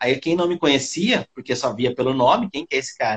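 Lively in intonation, a man with a high voice speaks at a fairly quick pace. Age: 40s. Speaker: physiotherapist and massage therapy teacher. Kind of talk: casual interview on live stream.

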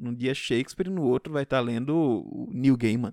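Recorded very cleanly against a silent background, a man speaks at a moderate pace in a dry, close sound with no echo. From Pernambuco, Brazil. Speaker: podcast host, literature teacher. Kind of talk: casual solo talk on literature. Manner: hesitant, many fillers.

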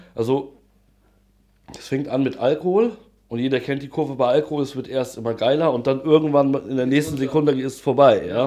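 Using a dark, mellow tone, a man talks at a fairly quick pace and fairly high pitch with fairly even intonation. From Hesse, near Frankfurt am Main. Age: 30s. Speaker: interviewee on drug use. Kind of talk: casual interview.

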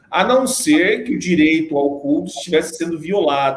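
A man's fairly high voice at a moderate pace, with ordinary pitch variation and audible room echo. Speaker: web show host. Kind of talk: panel discussion.

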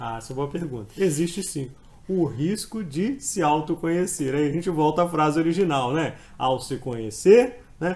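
A man with a fairly high pitch speaks at a moderate pace with lively intonation. Audible room echo surrounds his voice. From Brazil, Espírito Santo (Colatina). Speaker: law exam prep professor. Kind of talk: podcast interview, explanatory lecture. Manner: halting, frequent repetitions.

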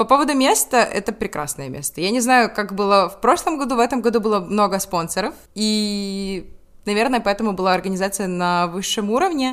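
Over a silent background on a very clean recording, a woman with an unremarkable speaking voice talks at a fairly quick pace and medium pitch, her intonation lively. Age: 20s. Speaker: law student, student group co-founder. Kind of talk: casual interview.

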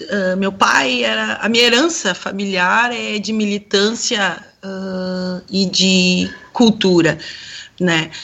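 Speech comes at a very slow pace. The pitch varies in an ordinary way. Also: woman, medium pitch for a woman. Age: 40s. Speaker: sociologist and singer. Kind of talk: radio panel discussion.

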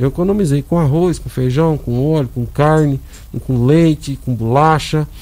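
A dark, mellow tone marks the speech of a man pitched fairly high. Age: 50s. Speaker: hospital administrator, former city councillor. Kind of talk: radio interview. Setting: radio studio. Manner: halting, many fillers.

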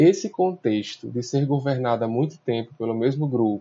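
In a somewhat breathy voice, a man speaks at a moderate speed. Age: 20s. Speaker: civil engineer and law student, local political candidate. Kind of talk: prepared statement. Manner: formal.

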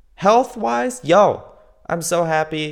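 His pitch swings very widely. The man talks at a very slow pace. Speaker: solo podcaster keeping a self-improvement diary. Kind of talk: casual monologue, personal progress diary. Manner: upbeat and animated with laughs; hesitant, many fillers and restarts.

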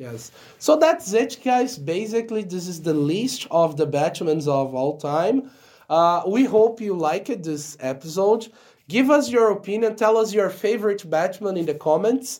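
Speaking with a Portuguese accent, a man uses a high pitch with very wide pitch swings. His pace is fairly slow. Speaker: podcast co-host. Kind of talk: casual chat.

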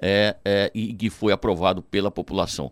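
A man talks with vocal fry. The sound is dry and close, with no echo. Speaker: municipal secretary. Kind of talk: radio interview.

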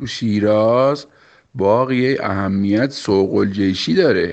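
A playful man with a Shirazi accent, fairly low pitch and ordinary pitch variation, at a very slow pace. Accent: Shirazi Persian. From Iran, Shiraz. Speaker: local interviewee. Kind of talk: recorded voice message answers.

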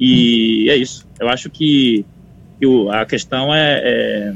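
A man's voice with ordinary pitch variation. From Bahia, Brazil. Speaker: conductor and composer. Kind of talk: interview. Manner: halting, many repetitions.

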